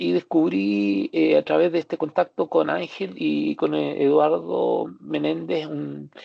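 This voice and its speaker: At a fairly slow pace, a man speaks with a Chilean accent. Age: 60s. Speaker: psychiatrist and doctoral student. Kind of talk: academic presentation. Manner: halting, many fillers.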